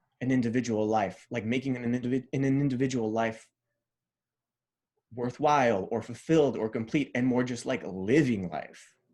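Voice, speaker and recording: A man speaks at a moderate pace. His pitch is medium, with ordinary pitch variation. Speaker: fiction writer. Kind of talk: podcast interview. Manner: casual, halting with many fillers.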